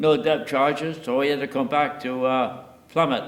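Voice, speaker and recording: Noticeable background noise surrounds a man's fairly high-pitched voice. He speaks at a fairly slow pace. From Nova Scotia, Canada. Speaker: war veteran. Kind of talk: interview answer.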